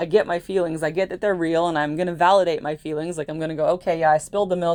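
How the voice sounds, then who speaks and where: The woman's voice sits at a fairly low pitch. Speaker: astrologer. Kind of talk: monologue video. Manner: fast; animated.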